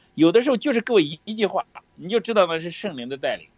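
With lively intonation, this man talks in an animated tone. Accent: Shandong-Henan. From Heze, Shandong, near the Henan border. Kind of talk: preaching-style religious sharing.

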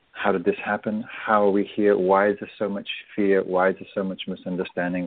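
A man with an English accent, fairly low pitch and flat, monotone intonation. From England. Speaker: meditation teacher and author. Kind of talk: radio interview.

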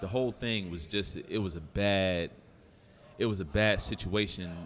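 An ordinary speaking voice: a man with an American accent, fairly low pitch, ordinary pitch variation and a moderate pace. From Detroit and New York (from age 14). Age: 40s. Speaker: former firefighter and restaurant owner. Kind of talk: casual chat. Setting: live recording at a downtown venue.

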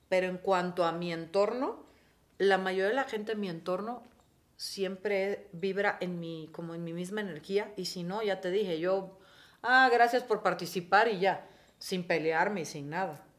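In a normal speaking voice, a woman talks at a fairly slow pace and medium pitch, with ordinary pitch variation and big swings in loudness. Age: 40s. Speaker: TV presenter. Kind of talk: casual chat.

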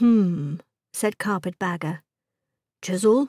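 The voice has a dark, mellow tone, somewhat breathy, with lively intonation at a fairly slow pace. The recording is very clean, with a silent background. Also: woman. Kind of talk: audiobook narration. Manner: animated, voicing characters; expressive, shifting tone between characters.

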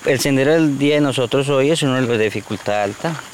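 Noticeable background noise sits under this recording. A man speaks with ordinary pitch variation. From Colombia, Huila; raised in La Macarena, Meta. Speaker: tour guide. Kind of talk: guided tour explanation.

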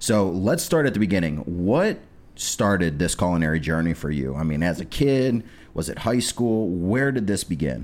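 With a Midwestern American accent, a man with a very deep, low pitch speaks at a moderate pace with lively intonation. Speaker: podcast host. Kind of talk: casual chat. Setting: studio.

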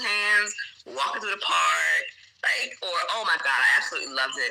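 A woman with a South Carolina accent talks at a moderate pace over noticeable background noise. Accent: Southern US (South Carolina). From US South, small-town South Carolina. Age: 30s. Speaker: English teacher abroad. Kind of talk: casual chat.

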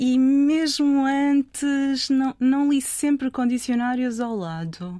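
Speaking very slowly with hardly any pauses, a woman holds a high pitch with ordinary pitch variation. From northern Portugal, Trofa. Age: 50s. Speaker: literary translator. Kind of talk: interview conversation.

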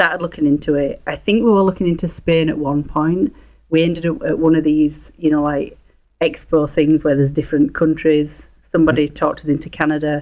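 Speaking in a Yorkshire accent, a woman with a very deep, low pitch keeps her intonation fairly even. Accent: broad Yorkshire English. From northern England, near Leeds. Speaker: real estate investor. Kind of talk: casual interview.

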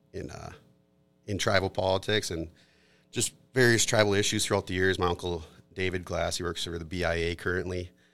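A man with an Upper Midwest accent at a very deep, low pitch, fairly even intonation and moderate pace, in a very clean recording with a silent background. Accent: Upper Midwest American. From Minnesota, Twin Cities area. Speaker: corporate attorney. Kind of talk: casual interview. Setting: studio.

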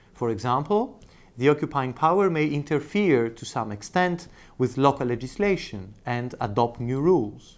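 A man with an unremarkable speaking voice, fairly high-pitched, lively in intonation, at a moderate pace. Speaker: law professor. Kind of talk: lecture. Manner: formal.

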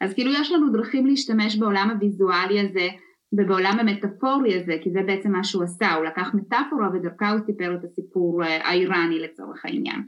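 Speaking with a Russian accent, the voice runs on with hardly any pauses and ordinary pitch variation. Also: woman, medium pitch for a woman. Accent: Russian-tinged Hebrew, noticeable guttural r. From former Soviet Union, immigrated to Israel. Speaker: storytelling and communication consultant. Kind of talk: podcast interview. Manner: fluent, animated.

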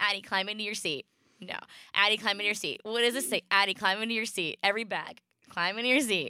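The speech comes very fast, with a bright, sharp tone and ordinary pitch variation. The sound is dry and close, with no echo. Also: woman, medium pitch for a woman. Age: 30s. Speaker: podcast co-host, mother. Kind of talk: casual chat.

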